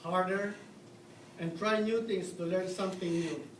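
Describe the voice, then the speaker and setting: A man's high-pitched voice at a fairly slow pace, with noticeable background noise. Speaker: dental assistant. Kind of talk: awards ceremony speech. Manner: nervous.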